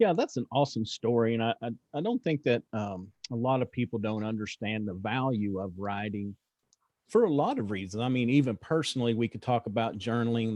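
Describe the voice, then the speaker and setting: A man speaks with an American accent at a fairly quick pace. His pitch is medium, and he has an unremarkable speaking voice. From Texas. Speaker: podcast host. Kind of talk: interview.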